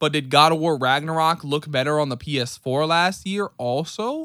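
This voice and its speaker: In an ordinary speaking voice with an American accent, a man talks at a moderate pace with a fairly high pitch and ordinary pitch variation, on a very clean recording with a silent background. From New York City. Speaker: gaming podcast co-host. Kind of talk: casual chat.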